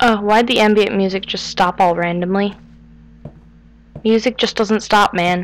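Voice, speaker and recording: Keeping a fairly slow pace, the woman speaks with fairly even intonation. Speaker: gamer. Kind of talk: gameplay commentary.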